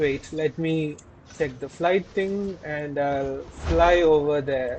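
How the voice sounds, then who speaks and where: A man's very slow speech, fairly high in pitch, with fairly even intonation. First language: not English. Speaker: gaming content creator. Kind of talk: gameplay commentary. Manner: halting, with many fillers and repeats.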